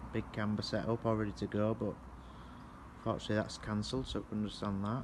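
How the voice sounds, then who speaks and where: In a northern English accent, a man talks with a fairly low pitch. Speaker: kit car owner. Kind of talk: home video update.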